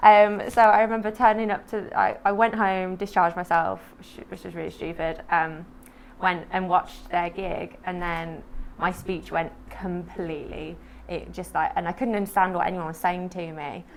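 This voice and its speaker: A woman speaks at a moderate pace in an unremarkable speaking voice, her intonation fairly even while her loudness swings widely. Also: medium pitch for a woman. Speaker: poet and MS advocate. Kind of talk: interview testimony. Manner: informal, many fillers (um, like).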